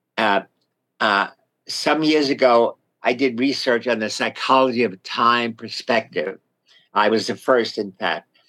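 A man speaks fairly slowly at medium pitch with ordinary pitch variation. His tone is bright and sharp on a very clean recording with a silent background. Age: 80s+. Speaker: retired psychology professor. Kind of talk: radio interview. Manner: halting.

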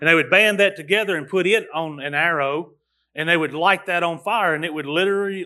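This man is loud and high-pitched. His pitch varies in an ordinary way. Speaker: pastor. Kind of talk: sermon. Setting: church. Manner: halting.

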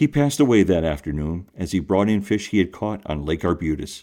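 With an American accent and a dark, mellow tone, a man talks at a fairly quick pace with very wide pitch swings on a very clean recording with a silent background. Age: 50s. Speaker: podcast host. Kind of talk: interview; scripted narration.

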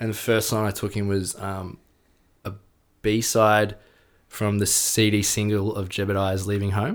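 On a very clean recording with a silent background, a man with an Australian accent speaks at a fairly low pitch. His intonation is flat and monotone, his pace fairly slow, with long, frequent pauses. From Melbourne, Australia. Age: 30s. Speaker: rock musician. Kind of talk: casual chat. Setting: at the host's home.

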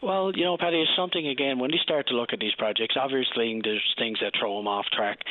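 With a Newfoundland accent, a man talks at a very fast pace with hardly any pauses and lively intonation. His pitch is medium, and there is noticeable background noise. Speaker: provincial opposition politician. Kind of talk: radio interview. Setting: phone call.

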